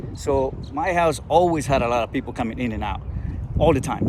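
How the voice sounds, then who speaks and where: A man with a Spanish accent at a medium pitch, fairly quick pace and ordinary pitch variation, with noticeable background noise and audible room echo. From Colombia. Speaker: entrepreneur and engineer. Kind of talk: personal storytelling vlog. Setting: outdoors in a park. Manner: halting, with repetitions.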